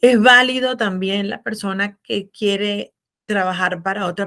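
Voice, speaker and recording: With a plain, everyday voice, a woman speaks at a fairly slow pace in a medium pitch and ordinary pitch variation. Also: very clean recording, silent background. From Venezuela. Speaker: business consultant and accountant. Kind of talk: interview.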